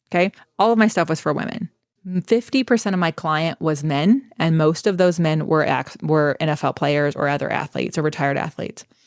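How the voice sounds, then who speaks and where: A woman with a very deep, low pitch speaks at a fairly quick pace in an animated tone and lively intonation, in a very clean recording with a silent background and a dry, close sound with no echo. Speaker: Pilates instructor and business coach. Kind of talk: interview. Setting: podcast. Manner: fast.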